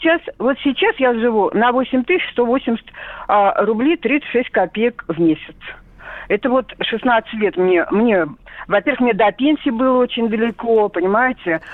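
Lively intonation at a very slow pace, with very even loudness over noticeable background noise. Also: woman, fairly high pitch for a woman. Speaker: caller, retired TV director. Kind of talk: radio call-in.

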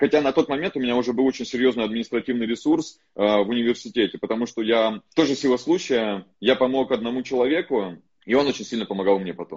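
With a medium pitch and ordinary pitch variation, a man talks at a very fast pace. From Russian Far East. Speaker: podcast host and entrepreneur. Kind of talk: casual interview chat, recorded from live stream. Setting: phone recording of Instagram live.

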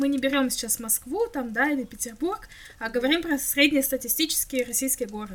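At a moderate pace, a woman speaks in a high pitch with a bright, sharp tone. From Russia, Krasnoyarsk. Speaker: podcast co-host. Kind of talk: casual chat.

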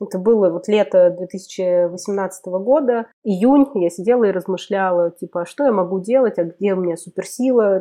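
With a normal speaking voice, a woman talks at a medium pitch and ordinary pitch variation. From Russia, Kemerovo region (Siberia). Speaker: community producer. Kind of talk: casual chat.

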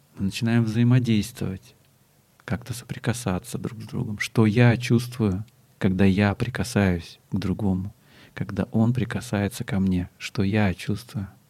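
The delivery is fairly slow, with a dark, mellow tone and fairly even intonation. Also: man. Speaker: body-oriented psychotherapist. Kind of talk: interview conversation.

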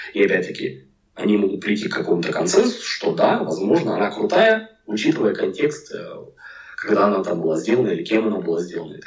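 A man rattles along at a very fast pace, his voice carrying audible room echo. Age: 40s. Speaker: packaging designer. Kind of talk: casual interview chat.

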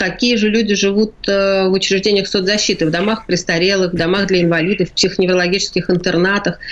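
Speaking very fast with hardly any pauses, a woman keeps a medium pitch, a monotone, flat intonation and very even loudness. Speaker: palliative care director. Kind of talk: radio interview. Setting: remote line from quarantine.

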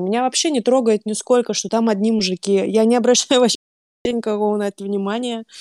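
Fairly high-pitched and fairly even in intonation, a woman speaks at a moderate pace in a dry, close recording with no echo. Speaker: book club moderator. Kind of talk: casual chat.

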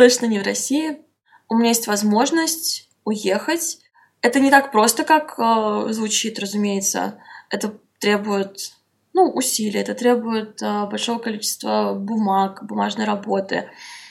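A woman with an ordinary speaking voice, fairly high pitch, ordinary pitch variation and a fairly slow pace. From Russia, Saint Petersburg. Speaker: blogger. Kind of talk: interview.

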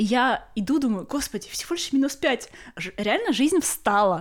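A woman's lively intonation carries her words along at a fairly quick pace. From Russia, Kaliningrad. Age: 30s. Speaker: podcast co-host. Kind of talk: casual chat.

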